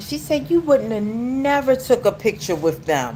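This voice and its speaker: Over noticeable background noise, a woman talks at a moderate pace, her pitch swinging very widely. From United States. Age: 40s. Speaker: YouTube livestreamer. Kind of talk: livestream monologue. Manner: rambling, repeats words.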